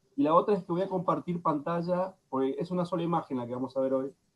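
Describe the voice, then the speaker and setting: The man's intonation is lively, and his pace stays moderate. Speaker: lecturer on psychoanalysis. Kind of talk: lecture.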